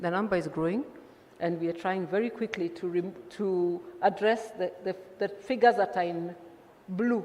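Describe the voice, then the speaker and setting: A woman speaks at a medium pitch with long, frequent pauses over noticeable background noise. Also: ordinary pitch variation. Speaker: engineer presenting at a conference. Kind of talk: conference presentation. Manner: fast.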